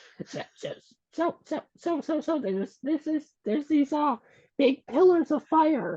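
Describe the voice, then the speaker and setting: This is a put-on character voice at a high pitch. It moves at a fairly slow pace. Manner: playful, cat-like.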